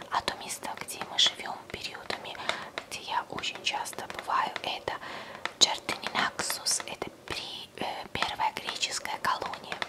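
Whispering from a woman, fairly slow in pace. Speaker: ASMR creator. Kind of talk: casual talk to camera, product show-and-tell. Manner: soft, close-up whisper. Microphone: studio mic.

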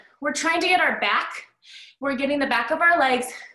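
In a room with audible echo but a quiet background, a woman speaks in a raised, projected voice. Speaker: fitness instructor. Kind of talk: workout instruction. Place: home room. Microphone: camera far.

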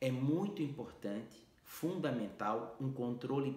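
A man talks with ordinary pitch variation in a room with audible echo. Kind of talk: health explainer to camera.

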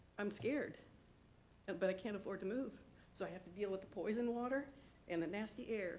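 Audible room echo surrounds a woman speaking at a moderate pace. Her voice sits at a medium pitch with ordinary pitch variation. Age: 60s. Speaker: resident giving public comment. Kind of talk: public comment at county meeting.

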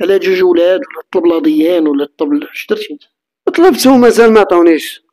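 Quiet surroundings and a man's moderate pace. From Morocco. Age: 50s. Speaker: interviewee telling personal story; interviewee. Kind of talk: testimony. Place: home room. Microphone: handheld.

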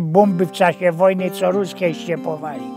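A man speaks with a Silesian accent. The sound is dry with no echo, and faint music plays in the background. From Silesia, Poland. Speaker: storyteller. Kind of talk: humorous anecdote told in dialect. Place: studio. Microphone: lapel.

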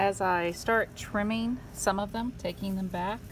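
A woman speaks in a somewhat breathy voice at a fairly slow pace with fairly even intonation, with noticeable background noise behind her. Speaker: home gardener. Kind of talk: casual gardening talk to camera. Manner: slow, choppy. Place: garden. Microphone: phone near.

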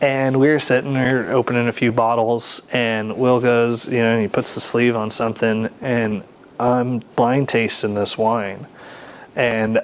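A man with an American accent at a fairly slow pace, monotone and flat in intonation, with very even loudness. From California. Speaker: sommelier; interviewee. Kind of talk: interview. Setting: wine bar or shop. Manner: casual. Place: shop. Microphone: lapel.

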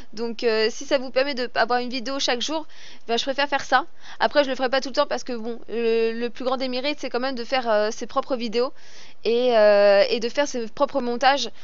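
A woman's high-pitched voice at a fairly quick pace, dry with no echo. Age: 30s. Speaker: gaming YouTuber and streamer; gaming streamer. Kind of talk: gameplay commentary with viewer Q&A. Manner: animated.

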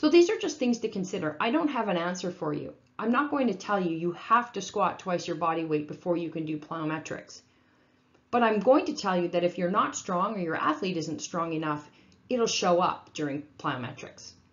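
Here is a woman with a plain, everyday voice. She speaks fairly low in pitch and at a moderate pace. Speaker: strength coach presenter. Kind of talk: lecture. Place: home room. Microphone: webcam.

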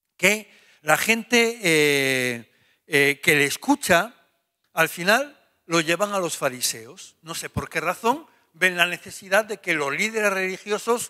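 Against a quiet background, a man talks at a fairly slow pace in a high pitch, with a bright, sharp tone and lively intonation. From Spain. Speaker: pastor; preacher. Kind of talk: Bible study. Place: church. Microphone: handheld.

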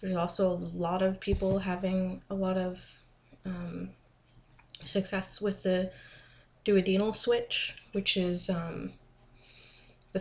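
A woman's somewhat breathy voice in a monotone, flat intonation. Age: 20s. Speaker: vlogger. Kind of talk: casual vlog monologue. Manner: hesitant with many fillers. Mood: relaxed, informative. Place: home room. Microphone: webcam.

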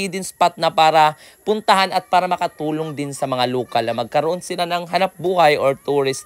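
On this very clean recording, set against a silent background, the words come at a fairly quick pace. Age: 20s. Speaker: travel vlogger, tour guide. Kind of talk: travel vlog narration. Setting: outdoors. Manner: animated.

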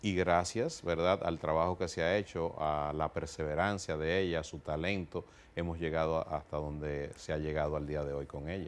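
A man's very deep, low voice at a moderate pace, with fairly even intonation and hardly any pauses. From Dominican Republic and New York. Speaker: music producer and executive; guest. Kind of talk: interview. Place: studio. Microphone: lapel.

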